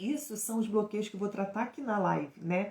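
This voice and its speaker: Somewhat breathy and dark, mellow in tone, a woman's fairly high voice carries ordinary pitch variation. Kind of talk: live stream teaching. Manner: stumbling, hesitant in places.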